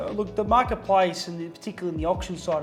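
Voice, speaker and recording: Over music in the background, a man speaks in a fairly high pitch with ordinary pitch variation. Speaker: chief auctioneer. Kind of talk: interview answer.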